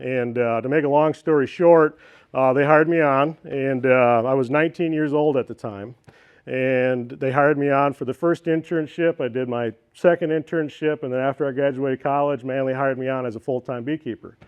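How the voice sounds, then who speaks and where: A man with an Upper Midwest accent speaks at a fairly quick pace. His fairly high pitch follows a fairly even intonation. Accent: Upper Midwest American. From northeast Iowa. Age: 30s. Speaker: beekeeper. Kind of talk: presentation to club meeting. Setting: club meeting room. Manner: casual with many fillers.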